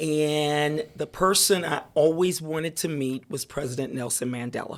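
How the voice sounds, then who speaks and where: With a New Orleans accent, a woman speaks at a very deep, low pitch. Her pace is moderate and her pitch varies in an ordinary way. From New Orleans, Louisiana. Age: 60s. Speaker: attorney and civic leader. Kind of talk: interview conversation.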